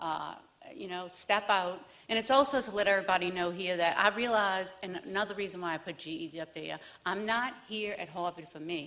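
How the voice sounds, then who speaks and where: Speaking at a fairly quick pace, a woman with a New Orleans accent has a medium pitch, ordinary pitch variation and a bright, sharp tone. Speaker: divinity student. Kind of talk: personal testimony. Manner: halting, many fillers.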